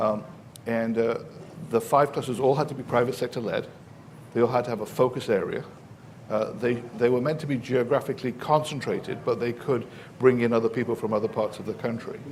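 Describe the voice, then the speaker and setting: A man with an English accent, medium pitch, fairly even intonation, and a fairly quick pace broken by long, frequent pauses. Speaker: professor. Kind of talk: panel discussion. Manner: halting, many fillers.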